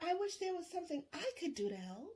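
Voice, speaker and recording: Here is a put-on character voice that sounds squeaky. It moves at a fairly quick pace. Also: woman. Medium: read story. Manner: warm, concerned.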